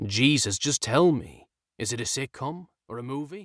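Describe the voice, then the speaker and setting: A man growls in a put-on character voice of medium pitch at a moderate pace, with lively intonation and big swings in loudness. The sound is dry and close with no echo, on a very clean recording with a silent background. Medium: read story.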